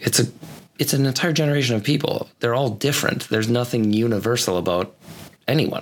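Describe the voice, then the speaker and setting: A man's medium-pitched voice at a very fast pace, with ordinary pitch variation, very even loudness and noticeable background noise. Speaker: co-host, podcast engineer. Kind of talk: casual chat. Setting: studio. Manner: soft-spoken.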